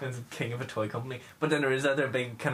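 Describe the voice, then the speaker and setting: The speaker uses fairly even intonation, with noticeable background noise behind the voice. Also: man. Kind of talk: casual chat.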